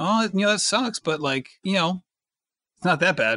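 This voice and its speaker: A man speaks fairly quickly in a raised, projected voice with lively intonation and a bright, sharp tone. The sound is dry and close, with no echo. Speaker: podcast host. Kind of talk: casual chat.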